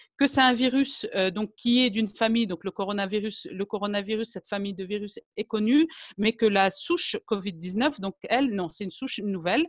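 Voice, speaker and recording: A woman with an unremarkable speaking voice, fairly high in pitch, with ordinary pitch variation and a fairly quick pace, in a dry, close sound with no echo on a very clean recording with a silent background. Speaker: naturopath. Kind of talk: lecture.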